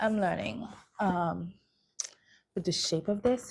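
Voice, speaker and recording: A soft-spoken woman's whisper, edged with vocal fry, at a moderate pace. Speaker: travel and shopping vlogger. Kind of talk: casual haul vlog. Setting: at home late at night. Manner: whispering.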